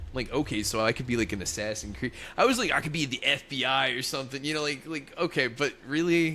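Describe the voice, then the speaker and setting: A loud man with an American accent, medium pitch and a bright, sharp tone, very fast with hardly any pauses and ordinary pitch variation. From US South, Louisiana. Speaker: podcast co-host. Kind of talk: casual chat.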